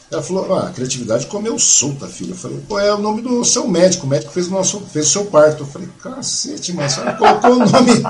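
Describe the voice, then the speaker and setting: Very fast and high-pitched, a man's voice swings very widely in pitch. Audible room echo and noticeable background noise fill the recording. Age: 50s. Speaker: podcast host. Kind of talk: casual interview.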